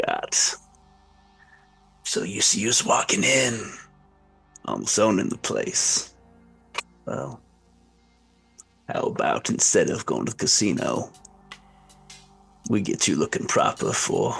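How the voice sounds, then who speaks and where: With faint music in the background, a man puts on a raspy character voice and speaks at a fairly slow pace. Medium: actual play. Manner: smooth, controlled, menacing.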